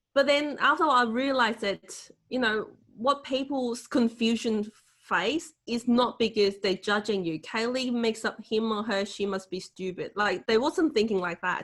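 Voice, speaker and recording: A woman speaks with a Hong Kong accent at a fairly slow pace. Her pitch is fairly high, with ordinary pitch variation. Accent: Hong Kong Cantonese accent in English. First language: Cantonese. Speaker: motivational speaker. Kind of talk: webinar Q&A answer.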